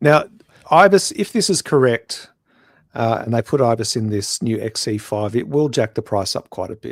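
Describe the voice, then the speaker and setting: An Australian-accented man talks at a moderate pace and medium pitch with lively intonation. The very clean recording has a silent background and a dry, close sound with no echo. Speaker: photography podcast co-host. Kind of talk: casual chat.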